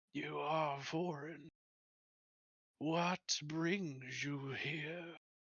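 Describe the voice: A put-on character voice speaks at a middle pitch and a very slow pace. Long pauses come often.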